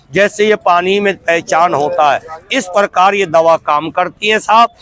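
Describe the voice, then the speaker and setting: A man's high, bright, sharp voice, dry and close with no echo. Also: ordinary pitch variation. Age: 60s. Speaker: street herbal medicine seller. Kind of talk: sales pitch.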